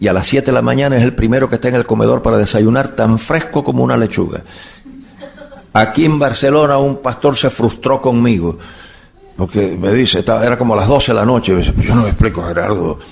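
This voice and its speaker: Medium in pitch for a man, this man talks at a very fast pace with ordinary pitch variation. His loudness stays very even, and background noise is noticeable. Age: 70s. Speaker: bible teacher. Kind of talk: lecture. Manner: animated.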